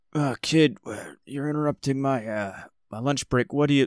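In a put-on character voice, a man performs on a very clean recording with a silent background. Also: medium pitch for a man, moderate pace. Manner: casual, annoyed.

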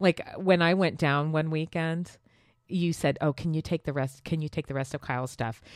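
Heard dry and close with no echo on a very clean recording with a silent background, a woman speaks with a very deep, low pitch and fairly even intonation. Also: moderate pace. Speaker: podcast co-host. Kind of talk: casual chat.

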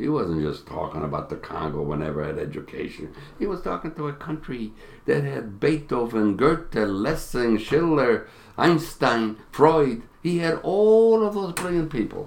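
A man's fairly high voice at a moderate pace, with very wide pitch swings. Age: 80s. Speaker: Holocaust survivor and author. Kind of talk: interview, storytelling. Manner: animated, warm.

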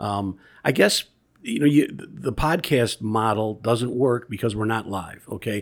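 An ordinary speaking voice with ordinary pitch variation, on a very clean recording with a silent background. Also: man. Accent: American. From Chicago area, Illinois. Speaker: podcast host, history museum board president. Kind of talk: casual chat.

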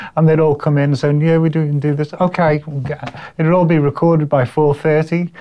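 At a moderate pace, a man with a fairly high pitch speaks in a monotone, flat intonation at a very even loudness, with noticeable background noise. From Liverpool, England (Everton). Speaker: musician. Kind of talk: casual interview. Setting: university room.

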